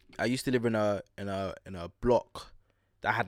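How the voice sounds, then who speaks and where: A man with a London accent speaks in a fairly low voice with fairly even intonation. The recording is very clean, with a silent background. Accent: London multicultural youth. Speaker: podcast host. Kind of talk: casual chat. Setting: studio.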